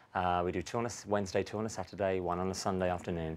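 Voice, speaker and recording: Talking very fast in a London accent, a man with a very deep, low voice keeps a flat, monotone intonation. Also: very clean recording, silent background. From London, England. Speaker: stage actor. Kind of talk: tv interview.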